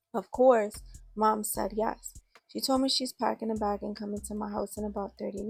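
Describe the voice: Plain reading aloud, nothing more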